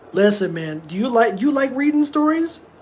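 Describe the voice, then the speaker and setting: An animated voice speaks at a fairly slow pace with noticeable background noise behind it. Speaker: livestreamer. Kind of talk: casual chat. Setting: live stream. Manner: loud.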